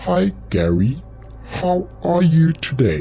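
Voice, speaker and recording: Over clear background music, a man does a put-on character voice at a very slow pace. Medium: read story. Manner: polite but threatening.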